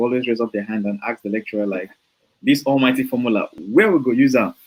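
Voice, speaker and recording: A man with a Nigerian accent, medium in pitch, fairly quick in pace, with lively intonation. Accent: Nigerian, full. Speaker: software developer and online trainer. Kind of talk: interview. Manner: hesitant, many fillers.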